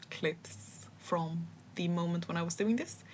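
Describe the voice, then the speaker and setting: A woman speaks with a non-native accent and vocal fry. Her pitch sits fairly low. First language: not English. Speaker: vlogger and aspiring writer. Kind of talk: casual voiceover vlog. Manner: hesitant, many fillers and restarts.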